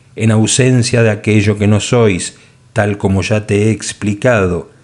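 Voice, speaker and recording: Speaking fairly slowly, a man with a Latin American accent uses a fairly low pitch. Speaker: audiobook narrator. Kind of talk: audiobook narration. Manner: shifts tone between author and God voices.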